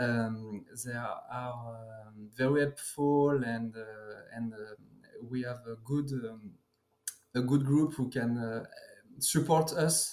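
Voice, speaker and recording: A man with a French accent talks at a very slow pace and medium pitch, his intonation fairly even but his loudness swinging widely. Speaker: card game player. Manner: halting.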